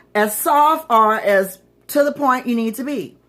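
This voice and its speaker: In a Southern US accent, the voice is bright and sharp, animated in tone, with very wide pitch swings. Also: woman. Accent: southern twang. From Florida. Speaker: magazine publisher and livestream host. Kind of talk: livestream monologue. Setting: livestream.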